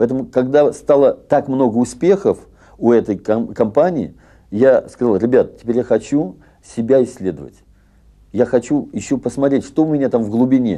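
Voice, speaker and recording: Dark, mellow tone from a man, pitch varying in an ordinary way. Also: moderate pace, quiet background. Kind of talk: interview answer. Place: home room. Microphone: lapel.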